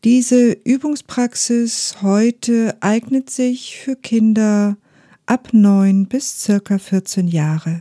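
A woman speaks very slowly in a calm, soothing tone, her fairly high voice dark, mellow and somewhat breathy, on a very clean recording with a silent background and a dry, close sound with no echo. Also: ordinary pitch variation. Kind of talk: guided meditation. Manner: slow, soft-spoken; calm, soothing, with long pauses.

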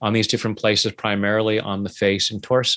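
A man speaks at a medium pitch, captured on a very clean recording with a silent background. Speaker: tapping practitioner and author. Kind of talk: interview. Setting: studio.

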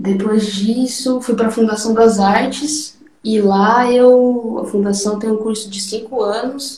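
A normal speaking voice from a woman, fairly high in pitch, at a fairly slow pace with hardly any pauses and fairly even intonation. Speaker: percussionist. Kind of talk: casual chat.

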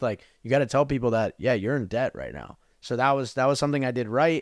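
A plain, everyday voice in an American accent, fairly quick, with ordinary pitch variation and a dry, close sound with no echo on a very clean recording with a silent background. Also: man. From New Jersey. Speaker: business coach. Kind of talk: casual interview.

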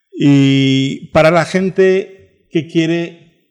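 A man with a Turkish accent speaks with ordinary pitch variation. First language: Turkish (speaking Spanish). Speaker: travel agency director. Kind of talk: radio interview.

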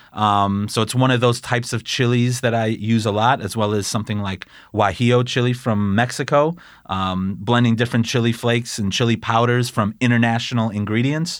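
A man with a plain, everyday voice talks fairly quickly at medium pitch with fairly even intonation in a very clean recording with a silent background. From Chicago area, US Midwest. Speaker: chef. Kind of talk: interview, casual chat.

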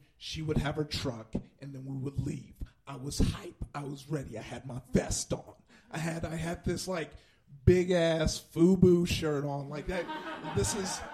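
A man with a fairly high, somewhat breathy voice speaks at a moderate pace, with ordinary pitch variation and big swings in loudness. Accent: American. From Compton, California. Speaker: comedian, storyteller. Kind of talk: live storytelling, stand-up style. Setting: live stage with audience. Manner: relaxed, conversational, self-deprecating.

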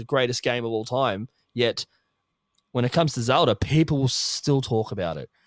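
A man with an Australian accent, medium in pitch, at a moderate pace, in a dry, close sound with no echo. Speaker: podcast co-host. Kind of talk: casual chat.

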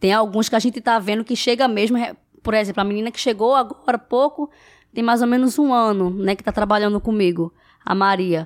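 A woman with an unremarkable speaking voice at a fairly high pitch, ordinary pitch variation and a fairly quick pace, on a very clean recording with a silent background. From Brazil, Recife. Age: 20s. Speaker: house cleaner and social media influencer. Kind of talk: casual interview.

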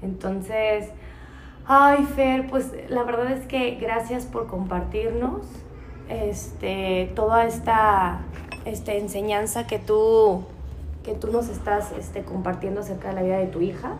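Amid noticeable background noise and audible room echo, a woman with a Mexican accent speaks at a very slow pace. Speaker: podcast host. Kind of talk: casual chat.

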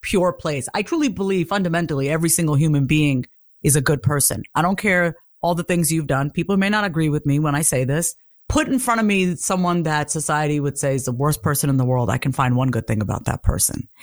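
With a New York accent, a woman speaks very fast in a very deep, low pitch, her loudness very even and her intonation lively, on a very clean recording with a silent background. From Long Island, New York. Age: 30s. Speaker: confidence coach. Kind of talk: casual chat.

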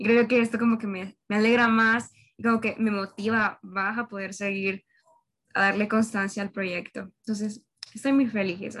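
The woman's voice is fairly high and delivered at a moderate pace. Her intonation is monotone and flat. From Honduras. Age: young (19). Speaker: university student, podcast host. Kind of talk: casual chat.

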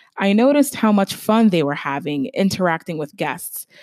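An unremarkable speaking voice moves at a moderate pace with lively intonation. The sound is dry and close with no echo, on a very clean recording with a silent background. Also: woman. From Stamford, Connecticut, US. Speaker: podcast host, journalist. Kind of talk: solo podcast monologue.

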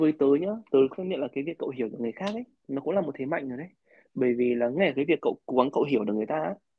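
A man talks very fast at a fairly high pitch. His intonation is lively. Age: 20s. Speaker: podcast host. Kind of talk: casual interview chat.

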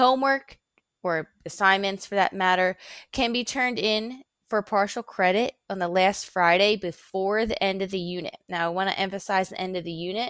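Speaking in a plain, everyday voice, a woman has a medium pitch and ordinary pitch variation at a moderate pace. The recording is very clean, with a silent background and a dry, close sound with no echo. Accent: American. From Philadelphia, Pennsylvania. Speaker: middle school teacher. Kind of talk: recorded lecture.

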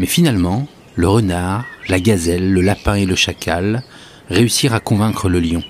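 A man with a fairly low pitch talks at a fairly slow pace in a calm, dramatic tone, keeping very even loudness and ordinary pitch variation over noticeable background noise. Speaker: podcast host and storyteller. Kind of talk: bedtime story telling, a Sufi tale read aloud in a hushed, soothing voice; solo podcast with scripted tale narration. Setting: solo recording, podcast. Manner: slow, measured and calm, with dramatic pauses and shifting tones for each animal; gentle, devotional and reverent, almost lulling.

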